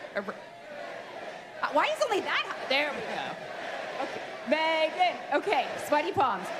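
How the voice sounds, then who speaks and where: A woman's extremely high voice with lively intonation at a fairly slow pace, long, frequent pauses, audible room echo and crowd noise in the background. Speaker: game developer presenting live demo. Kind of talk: live event presentation.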